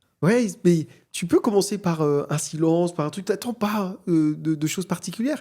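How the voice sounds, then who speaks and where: With a dark, mellow tone, a man speaks at a high pitch and with ordinary pitch variation. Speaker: AI entrepreneur and conference speaker. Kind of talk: podcast interview. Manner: fast.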